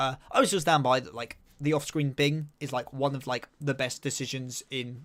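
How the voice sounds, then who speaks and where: A man with an English accent speaks in an animated tone. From southeast England. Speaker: anime and manga streamer. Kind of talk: live stream chat. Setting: live stream.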